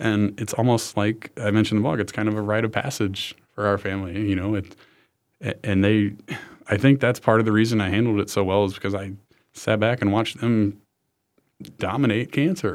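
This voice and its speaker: A man with an unremarkable speaking voice, fairly low in pitch, at a fairly quick pace with fairly even intonation, in a very clean recording against a silent background. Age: 20s. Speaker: MBA student and medical entrepreneur with cancer. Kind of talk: interview. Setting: studio.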